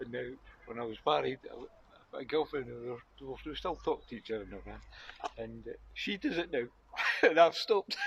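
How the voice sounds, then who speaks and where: Against noticeable background noise, a man with a Scottish accent speaks at a moderate pace, with long, frequent pauses and big swings in loudness. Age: 60s. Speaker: passer-by. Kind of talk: casual chat.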